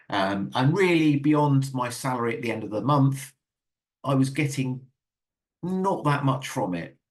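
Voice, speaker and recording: A medium-pitched, somewhat breathy man with ordinary pitch variation and long, frequent pauses. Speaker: dyslexia consultant giving a webinar. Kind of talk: webinar presentation. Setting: online webinar. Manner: fast; halting, many repetitions and fillers.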